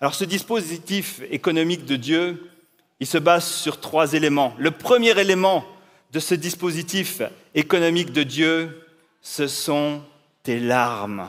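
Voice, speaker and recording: Pitched fairly high, a man talks at a very slow pace with long, frequent pauses. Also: ordinary pitch variation. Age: 40s. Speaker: pastor. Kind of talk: inspirational talk.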